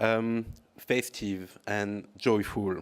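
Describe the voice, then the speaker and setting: A man with a French accent on a very clean recording, the background silent. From France. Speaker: political analyst and NGO leader. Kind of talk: conference talk. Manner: halting, many fillers.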